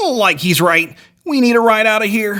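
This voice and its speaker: A man's put-on character voice, high-pitched and drawling, at a moderate pace with lively intonation and very even loudness. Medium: short film. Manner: starts sentences with "like", slacker drawl.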